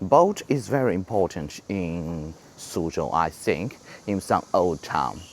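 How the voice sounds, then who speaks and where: At a very slow pace, a man with a Chinese accent speaks in a very deep, low pitch with lively intonation. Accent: Chinese-accented English, imperfect. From China. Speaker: travel vlogger. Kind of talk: walking tour vlog. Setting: outdoors on a street. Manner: halting, many fillers and repeats.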